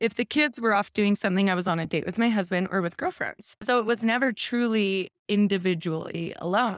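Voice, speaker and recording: A woman with an American accent speaks in a normal speaking voice at a medium pitch with ordinary pitch variation. The sound is dry and close with no echo, very clean against a silent background. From Utah. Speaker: guest sharing divorce story. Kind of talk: podcast interview, personal story.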